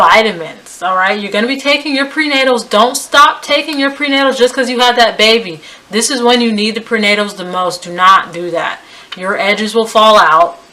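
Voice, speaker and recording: With an American accent, a woman talks at a moderate pace in a fairly high pitch. Her intonation is lively, and there is noticeable background noise. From US, West Indian family. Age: 20s. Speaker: lifestyle vlogger. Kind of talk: advice vlog. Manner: casual, conversational.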